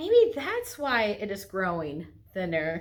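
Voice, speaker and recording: Fairly slowly, a woman talks in a put-on character voice. Her pitch sits in the middle range. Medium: read story.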